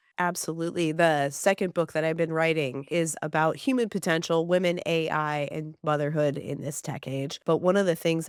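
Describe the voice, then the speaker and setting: In an American accent, a woman talks at a fairly quick pace with fairly low pitch, ordinary pitch variation and a normal speaking voice. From southern California. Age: 40s. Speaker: podcast host. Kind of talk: casual interview chat.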